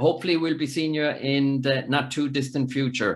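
A man with an Irish accent and a fairly high pitch. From Ireland. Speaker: podcast host. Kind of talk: casual interview.

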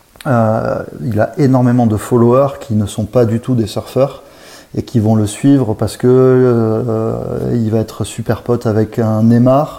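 Amid noticeable background noise, a man talks at medium pitch in a flat, monotone delivery. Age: 30s. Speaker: marketing director for a surf brand. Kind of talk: interview. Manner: halting, with frequent repetitions and fillers.

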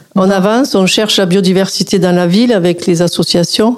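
A woman's voice over noticeable background noise, with fairly even intonation. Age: 60s. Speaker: local politician. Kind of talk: radio interview. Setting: studio.

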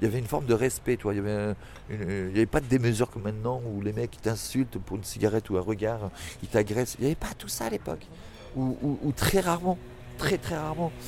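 A very fast pace with lively intonation. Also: man, medium pitch for a man. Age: 40s. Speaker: former sex worker. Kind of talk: interview. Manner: animated; halting.

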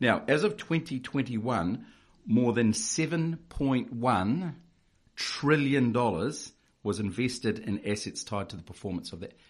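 With a New Zealand accent, a man speaks at a fairly slow pace and with lively intonation. The background is quiet. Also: medium pitch for a man. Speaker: financial adviser. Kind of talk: informative interview chat.

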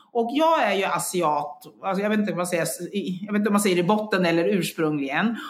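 A moderate pace and lively intonation, with audible room echo. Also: woman. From Sweden. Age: 50s. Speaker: health coach and engineer. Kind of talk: interview. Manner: halting.

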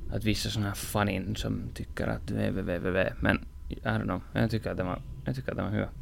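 Very deep, low pitch from a man with a Finland-Swedish accent, at a fairly quick pace with very wide pitch swings. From Finland (Swedish-speaking). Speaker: podcast host. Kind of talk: casual chat.

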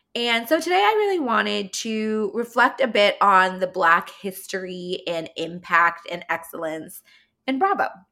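Speaking at a fairly slow pace in a Californian accent, a woman with a medium pitch sounds animated, with a bright, sharp tone and lively intonation. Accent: Californian, valley-girl-like. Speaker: podcast host. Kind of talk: solo podcast monologue, casual chat. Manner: casual, chatty, animated.

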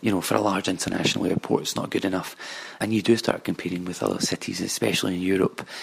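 A man with a very deep, low pitch and a Glasgow accent, at a very fast pace. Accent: Scottish (Glasgow). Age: 20s. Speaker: commercial property analyst. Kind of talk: recorded monologue about his city.

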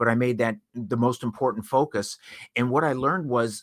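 A plain, everyday voice moves at a fairly quick pace on a very clean recording with a silent background. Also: man. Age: 60s. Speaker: house painting business owner and speaker. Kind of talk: interview.

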